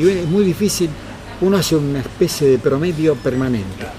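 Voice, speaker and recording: Moderate-paced male speech, pitch varying in an ordinary way, noticeable noise in the background. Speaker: comic artist. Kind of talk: talk with audience. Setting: live meetup with audience. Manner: soft-spoken.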